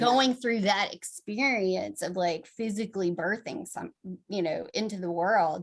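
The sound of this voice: A woman speaks at a fairly slow pace. Her pitch is medium, with ordinary variation.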